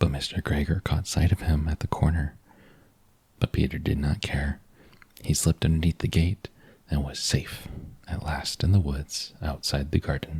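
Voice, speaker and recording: A man with a very deep, low voice and a gentle tone speaks at a moderate pace with fairly even intonation and long, frequent pauses, the sound dry and close with no echo. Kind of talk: bedtime story reading. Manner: soft-spoken, gentle.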